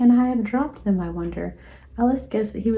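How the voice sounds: A reading voice, natural in sound.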